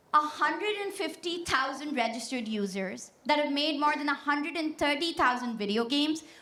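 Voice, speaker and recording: A woman's bright, sharp voice in a Pashto accent, fairly quick, with audible room echo. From Pakistan. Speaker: tech startup founder. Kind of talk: keynote speech. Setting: stage with audience. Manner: energetic, confident.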